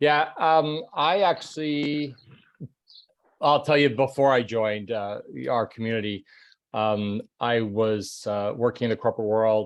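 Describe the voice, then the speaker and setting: A man speaks in an ordinary speaking voice at a medium pitch. His pace is moderate and his pitch variation ordinary. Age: 60s. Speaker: retired corporate manager turned online entrepreneur. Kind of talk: testimony.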